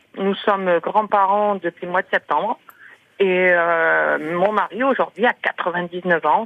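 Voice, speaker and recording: The speech comes at a very slow pace, with fairly even intonation. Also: woman. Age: 50s. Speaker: radio caller. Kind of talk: phone testimony.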